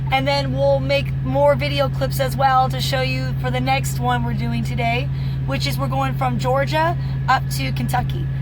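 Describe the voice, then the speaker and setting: Noticeable background noise and audible room echo fill the recording. A woman speaks through it at a moderate pace. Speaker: truck driver and vlogger. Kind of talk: vlog.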